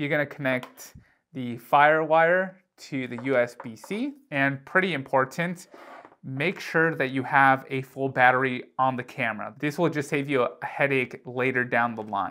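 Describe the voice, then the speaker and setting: A man's bright, sharp tone with ordinary pitch variation, set against a quiet background. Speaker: tech youtuber. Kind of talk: tutorial. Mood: light, joking. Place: home room. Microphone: lapel.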